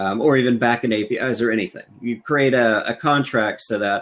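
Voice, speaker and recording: A man with an unremarkable speaking voice talks at a medium pitch with fairly even intonation, recorded very cleanly against a silent background. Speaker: software engineer and conference speaker. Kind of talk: technical conference talk with live demo.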